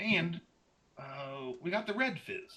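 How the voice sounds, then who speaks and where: A man's put-on character voice, pitched high. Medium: actual play. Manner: hearty, folksy.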